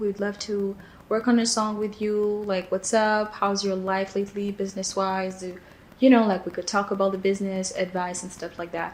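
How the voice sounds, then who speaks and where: A woman with a non-native accent talks at a moderate pace in a medium pitch. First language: not English. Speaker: singer-songwriter. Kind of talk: casual interview-style recollection. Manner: relaxed, with frequent fillers and repetitions.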